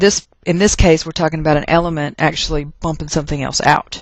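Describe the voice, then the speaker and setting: A woman in a Texas accent, fairly low in pitch, fairly quick in pace, with fairly even intonation. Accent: Texas twang. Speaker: chemistry teacher. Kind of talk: lecture. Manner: casual, conversational.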